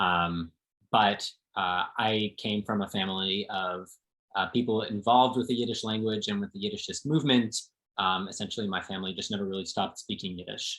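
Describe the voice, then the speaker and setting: At a fairly quick pace, a man with a plain, everyday voice speaks with an American accent, fairly low pitch, and fairly even intonation. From New Jersey, suburbs of New York City. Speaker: translator. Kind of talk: interview conversation.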